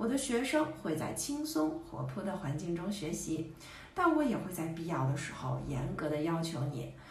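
Amid audible room echo and light background noise, a woman talks at a moderate pace. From Beijing, China. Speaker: Chinese teacher. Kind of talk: teacher self-introduction to camera. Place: home room. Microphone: phone near.

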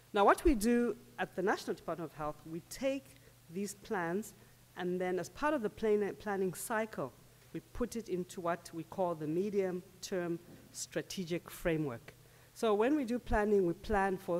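The speaker is a woman with lively intonation. She keeps a moderate pace. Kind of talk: conference presentation. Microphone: podium.

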